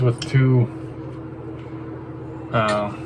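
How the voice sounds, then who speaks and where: A man's voice amid noticeable background noise. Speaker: firearms hobbyist. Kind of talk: casual talk to camera. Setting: outdoors. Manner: monotone.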